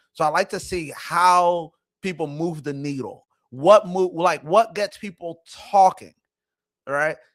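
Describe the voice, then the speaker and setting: A man with a high pitch speaks at a fairly slow pace with ordinary pitch variation. The recording is very clean, with a silent background. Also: big swings in loudness. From immigrant, grew up in Philadelphia. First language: not English (English was third language). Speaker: show host and marketing firm owner. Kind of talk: casual commentary monologue.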